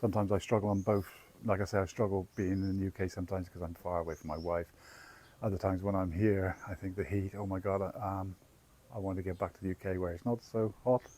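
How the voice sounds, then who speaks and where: Speaking in an English accent at a very fast pace, a man has a very deep, low pitch and a dark, mellow tone. His intonation stays fairly even. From England. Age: 60s. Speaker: travel vlogger. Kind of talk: casual chat. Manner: halting.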